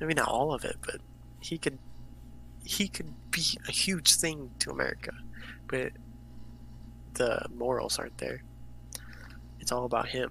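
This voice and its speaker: A man talks at a moderate pace, and his speech is broken by long, frequent pauses. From US, Greek-American family. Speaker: podcast co-host. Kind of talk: casual chat. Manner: halting.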